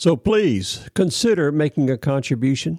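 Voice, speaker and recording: With a Southern US accent, a fairly high-pitched man is heard in dry, close sound with no echo, on a very clean recording with a silent background. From US South, Florida (Ocala). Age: 70s. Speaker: podcast host, Vietnam veteran. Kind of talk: news reading and commentary.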